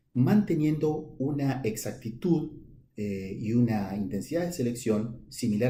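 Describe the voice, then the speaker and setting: Against audible room echo, a man with an Argentine accent speaks at a medium pitch in a dark, mellow, somewhat breathy tone with lively intonation. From Argentina, La Pampa province. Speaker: professor of animal genetics. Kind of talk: conference talk answering questions. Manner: hesitant with frequent fillers.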